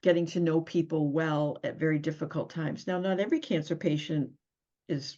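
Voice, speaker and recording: A woman speaks in a fairly low pitch with an American accent. Hers is an unremarkable speaking voice. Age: 60s. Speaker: nurse. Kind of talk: interview. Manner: conversational.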